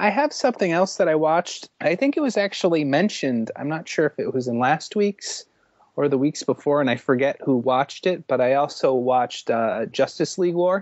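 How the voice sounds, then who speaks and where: At a fairly quick pace, a man uses a normal speaking voice with lively intonation, recorded with a dry, close sound and no echo. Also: fairly high pitch for a man. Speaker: podcast co-host. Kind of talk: casual chat.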